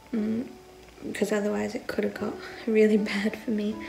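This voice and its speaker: A woman talks at a moderate pace with light background noise. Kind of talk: casual vlog chat. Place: home room. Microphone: phone near.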